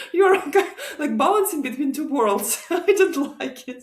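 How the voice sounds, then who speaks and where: With a Russian accent, a woman talks in very wide pitch swings. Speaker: guest, immigrant mother. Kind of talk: casual interview chat.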